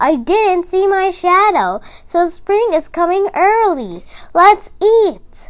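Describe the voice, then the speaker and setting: A woman uses a put-on character voice that is squeaky and extremely high, with ordinary pitch variation. She speaks very slowly. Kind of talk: bedtime story. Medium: read story.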